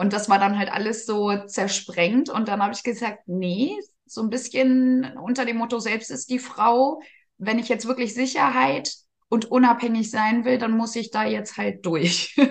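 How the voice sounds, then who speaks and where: A woman's somewhat breathy, fairly high voice at a fairly slow pace, with ordinary pitch variation. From northern Germany, Gifhorn district, Lower Saxony. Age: 30s. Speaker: care service manager and network marketer. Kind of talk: interview.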